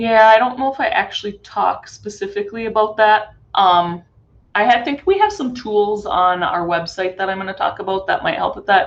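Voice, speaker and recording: A woman speaks in an ordinary speaking voice at a fairly high pitch and moderate pace, with ordinary pitch variation. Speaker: conference presenter. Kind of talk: webinar presentation.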